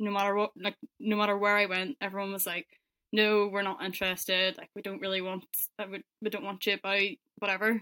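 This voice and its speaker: A woman with a Northern Irish accent, medium pitch and a fairly quick pace, in a dry, close sound with no echo. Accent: Northern Irish (Belfast). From Northern Ireland, Belfast. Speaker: car paint sprayer. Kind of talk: interview.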